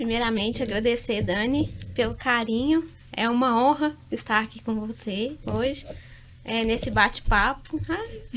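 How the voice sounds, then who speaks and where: A woman's fairly high-pitched voice at a fairly slow pace, a plain, everyday voice. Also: ordinary pitch variation. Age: 30s. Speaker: quality specialist, chemical engineer. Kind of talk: podcast interview.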